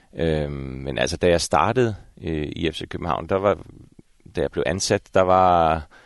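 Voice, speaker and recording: Over a quiet background, a man talks at a fairly slow pace in a very deep, low pitch with ordinary pitch variation and a dry, close sound with no echo. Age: 50s. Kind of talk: interview. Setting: at the stadium.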